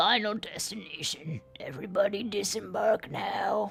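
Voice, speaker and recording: The voice is a put-on character with fairly high pitch. Its speed is moderate. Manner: bored.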